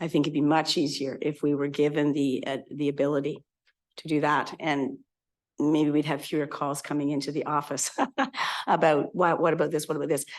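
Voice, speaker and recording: The speech comes at a fairly quick pace with monotone, flat intonation over a quiet background. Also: woman, very deep, low pitch for a woman. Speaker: electoral area director. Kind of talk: committee meeting discussion. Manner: halting, many fillers.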